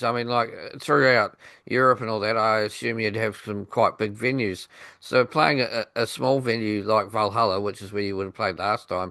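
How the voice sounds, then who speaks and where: Speaking at a moderate pace, a man with a New Zealand accent has a medium pitch. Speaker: radio podcast host. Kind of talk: interview.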